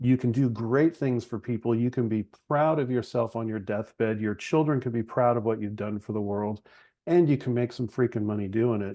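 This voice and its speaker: A man speaks in an ordinary speaking voice at medium pitch. His pace is fairly quick, with ordinary pitch variation. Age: 40s. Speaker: chiropractor and business founder. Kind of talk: podcast interview conversation. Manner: casual, conversational with fillers.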